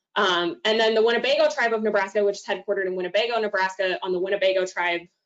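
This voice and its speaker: A woman's medium-pitched voice with an American accent and ordinary pitch variation. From Oklahoma. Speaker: domestic violence outreach coordinator. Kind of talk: presentation talk. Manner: frequent fillers (um).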